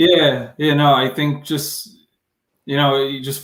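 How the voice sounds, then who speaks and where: A man is speaking. He has an American accent. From Hudson Valley, New York. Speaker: entrepreneur. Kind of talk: live interview. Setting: live video stream. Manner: casual, halting with fillers.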